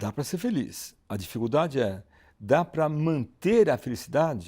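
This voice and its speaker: On a very clean recording with a silent background, a man with a fairly high pitch and a dark, mellow tone speaks at a fairly slow pace with very wide pitch swings. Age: 70s. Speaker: psychiatrist. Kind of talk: interview. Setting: at the interviewer's home. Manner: halting, with frequent restarts.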